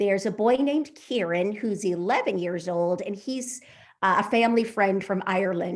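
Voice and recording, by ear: Reading aloud in a natural voice, the speaker lets the pitch vary in an ordinary way.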